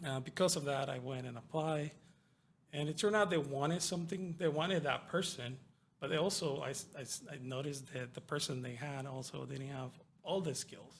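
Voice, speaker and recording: A Spanish accent comes through in a somewhat breathy voice moving at a fairly quick pace. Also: man, fairly high pitch for a man, ordinary pitch variation. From Mexico, Yucatan. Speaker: network technology worker. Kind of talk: interview.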